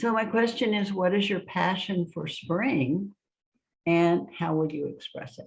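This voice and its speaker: A woman speaks at a fairly slow pace, somewhat breathy. Her pitch is medium, with ordinary variation. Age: 70s. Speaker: ceremony leader. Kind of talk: guided ceremony talk.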